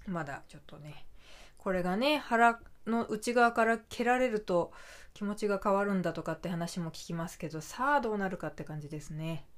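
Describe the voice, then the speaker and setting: A woman with an unremarkable speaking voice talks at a medium pitch and a moderate pace, with lively intonation and big swings in loudness. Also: very clean recording, silent background. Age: 30s. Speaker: podcaster. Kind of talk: casual chat.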